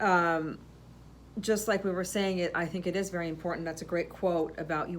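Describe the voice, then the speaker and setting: A woman with a fairly low pitch speaks amid audible room echo. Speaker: podcast co-host, florist shop owner. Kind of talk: casual chat. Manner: loud; halting.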